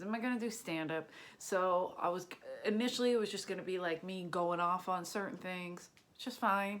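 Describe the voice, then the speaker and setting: In a Philadelphia accent, a woman speaks fairly quickly at a medium pitch, her tone animated and her pitch variation ordinary. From Philadelphia, US. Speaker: stand-up comedian. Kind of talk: casual monologue to camera.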